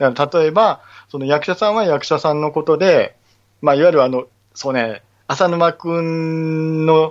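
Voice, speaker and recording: The pace is fairly slow. A man speaks at a fairly high pitch that varies in an ordinary way. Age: 40s. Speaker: stage actor and theater crew, podcaster. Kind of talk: casual chat. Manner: animated.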